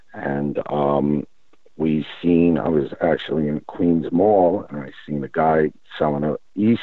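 A man with an American accent speaks in a very deep, low pitch. His pace is fairly slow, with ordinary pitch variation. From New York. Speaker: vape company founder. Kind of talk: interview.

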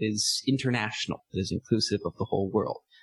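With a Californian accent, a man talks at a fairly quick pace and a fairly low pitch with ordinary pitch variation, his somewhat breathy voice dry and close with no echo. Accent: Californian American. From California, San Diego. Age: 30s. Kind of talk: interview.

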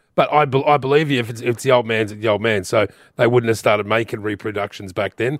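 A man with an Australian accent, medium pitch, on a very clean recording with a silent background. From Newcastle area, New South Wales, Australia. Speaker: auctioneer and memorabilia expert, radio co-host. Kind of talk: late-night talkback radio.

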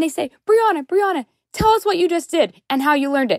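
A woman talks at a fairly quick pace with an American accent. Her pitch swings very widely, and the sound is dry and close with no echo. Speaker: podcast listener calling in. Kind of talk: voicemail story. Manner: chatty.

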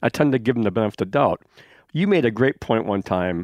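Recorded very cleanly with a silent background and a dry, close sound with no echo, a man speaks at a medium pitch with lively intonation. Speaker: outdoor writer. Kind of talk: casual chat.

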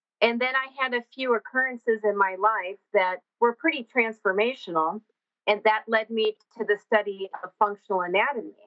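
A woman with a fairly high pitch speaks at a moderate pace, using ordinary pitch variation. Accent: American. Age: 40s. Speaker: horse trainer and functional anatomy specialist. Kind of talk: interview.

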